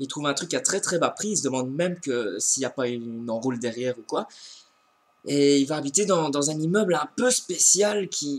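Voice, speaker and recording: This man's voice sits at a fairly high pitch with lively intonation. He keeps a moderate pace. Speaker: book reviewer. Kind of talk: casual book review vlog. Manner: hesitant, many fillers and repetitions.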